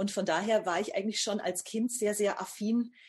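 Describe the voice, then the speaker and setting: Medium-pitched, somewhat breathy speech from a woman. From Upper Franconia, northern Bavaria (Bamberg). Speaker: novelist and screenwriter. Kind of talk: interview.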